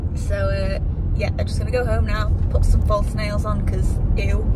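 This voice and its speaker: A woman's voice comes through dry with no echo, over loud background noise. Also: moderate pace. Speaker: vlogger. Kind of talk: casual vlog chat. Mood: cheerful, laughing at times. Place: car. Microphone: phone near.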